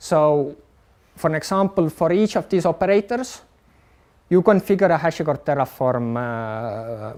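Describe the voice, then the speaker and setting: This man's voice sits fairly high and swings very widely in pitch as he talks at a moderate pace. The recording is very clean, with a silent background. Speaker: HPC infrastructure engineer. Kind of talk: technical talk. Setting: live-streamed workshop with audience. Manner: hesitant with fillers.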